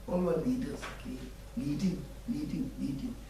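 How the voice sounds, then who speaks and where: A man talks in a Tibetan accent at a moderate pace. Audible room echo and noticeable background noise surround him. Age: 60s. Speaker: Buddhist teacher. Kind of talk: dharma teaching.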